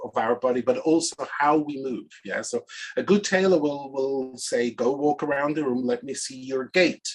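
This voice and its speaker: A man speaks with a Swiss accent. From Switzerland. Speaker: organizational consultant and speaker. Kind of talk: presentation talk.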